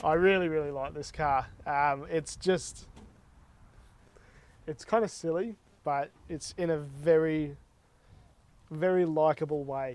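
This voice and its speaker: A man with an Australian accent speaks at a fairly high pitch and a fairly slow pace. His intonation is fairly even, broken by long, frequent pauses. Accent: thick Australian. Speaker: car vlogger. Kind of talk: casual vlog while driving.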